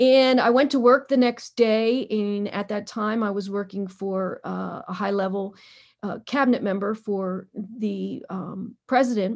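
A woman speaks in an American accent at a fairly slow pace. Her intonation stays fairly even. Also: medium pitch for a woman, very clean recording, silent background. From Pennsylvania, Harrisburg. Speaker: marathon runner and brain cancer survivor. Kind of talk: interview storytelling. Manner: hesitant with frequent fillers.

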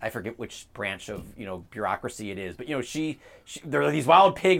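Speaking at a fairly quick pace with an American accent, a man's voice shows vocal fry. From US, Baltimore. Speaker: think tank president and author. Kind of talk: interview on policy. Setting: outdoors on a front porch.

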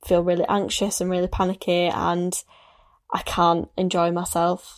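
A woman with an ordinary speaking voice speaks at a moderate pace and medium pitch. The recording is very clean, with a silent background. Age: 20s. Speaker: podcast host. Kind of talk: casual chat.

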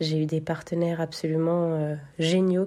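This woman's voice has a dark, mellow tone and a flat, monotone delivery. She speaks very slowly against a quiet background. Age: 30s. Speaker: testimony contributor. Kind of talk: recorded voice message testimony.

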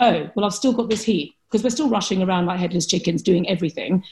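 A woman's voice is somewhat breathy, with ordinary pitch variation. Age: 40s. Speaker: Chinese medicine practitioner. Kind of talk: interview.

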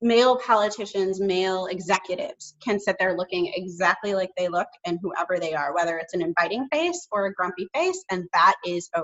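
A woman with an American accent speaks in a plain, everyday voice at a moderate pace, her medium pitch showing ordinary variation. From Chicago suburbs. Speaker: speech-language pathologist and communication consultant. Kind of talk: casual chat. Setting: video call.

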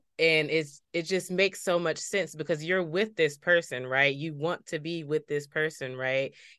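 Against a quiet background, a woman with an American accent speaks at a moderate pace. Her pitch is very deep and low, with fairly even intonation. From Paterson, New Jersey. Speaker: podcast host. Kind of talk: interview conversation.

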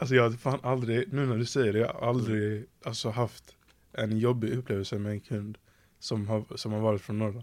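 The man's medium-pitched voice moves at a moderate pace with fairly even intonation. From southern Sweden, Skåne. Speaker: podcast host. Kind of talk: casual chat.

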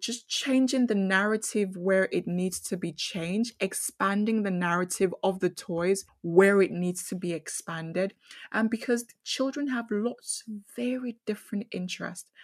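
A woman with a medium pitch and ordinary pitch variation speaks at a fairly slow pace, somewhat breathy, with hardly any pauses. The background is quiet. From Nigeria. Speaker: engineer. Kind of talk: interview.

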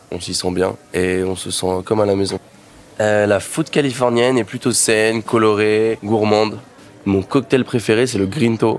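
Against noticeable background noise, a man with a fairly low pitch and ordinary pitch variation speaks at a fairly slow pace. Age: 20s. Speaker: restaurant manager. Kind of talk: promotional presentation.

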